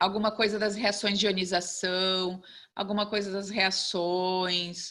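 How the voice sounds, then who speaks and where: A woman's bright, sharp voice at a medium pitch, very slow and flat in monotone. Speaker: chemistry teacher. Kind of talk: online lecture.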